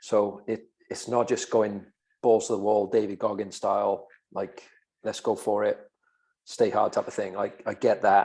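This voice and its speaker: Speaking in a Welsh accent at a moderate pace, a man leaves long, frequent pauses. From Wales. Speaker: podcast co-host, fitness coach. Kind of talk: casual podcast chat.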